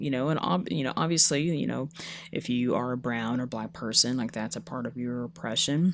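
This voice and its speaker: At a fairly quick pace, the speech comes through a very clean recording with a silent background. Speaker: podcast host. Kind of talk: podcast conversation.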